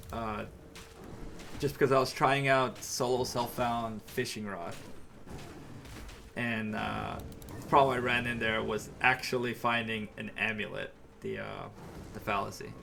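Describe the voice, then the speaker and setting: With an American accent, a man speaks at a medium pitch and a fairly slow pace, his intonation fairly even, with long, frequent pauses, big swings in loudness, and audible room echo. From New York. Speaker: video game streamer. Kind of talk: live gameplay commentary. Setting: live stream. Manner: casual, halting with fillers.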